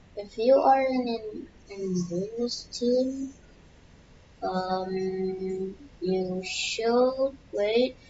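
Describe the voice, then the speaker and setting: A soft-spoken woman talks at a very slow pace. Her pitch is medium, with ordinary pitch variation. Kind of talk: casual gameplay tips talk. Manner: very quiet, soft; hesitant, many fillers.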